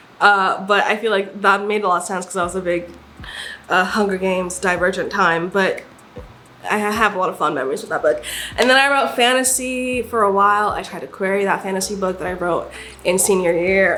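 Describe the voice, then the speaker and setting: A woman with an American accent speaks at a fairly quick pace, her pitch medium and its variation ordinary, her tone animated. Music plays in the background, and the room echo is audible. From Nigeria. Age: 20s. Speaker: aspiring author and vlogger. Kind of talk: casual chat.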